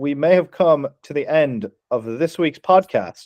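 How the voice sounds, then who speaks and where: An American accent is heard here. The voice is a man's. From Ireland. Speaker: podcast host. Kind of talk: casual chat. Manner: animated.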